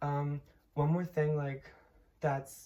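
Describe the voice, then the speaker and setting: A woman's very deep, low voice, dark and mellow in tone, somewhat breathy, with fairly even intonation. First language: Polish. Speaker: linguistics student. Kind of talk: casual explanation. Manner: halting, many fillers.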